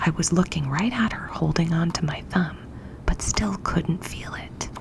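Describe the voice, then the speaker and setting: Someone whispers at a fairly slow pace over noticeable background noise. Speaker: ASMR storyteller. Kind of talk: read story. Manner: whispered.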